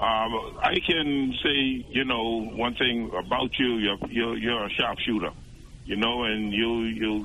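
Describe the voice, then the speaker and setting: A man speaks at a medium pitch with ordinary pitch variation in a plain, everyday voice. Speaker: caller. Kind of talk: call-in comment. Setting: phone call.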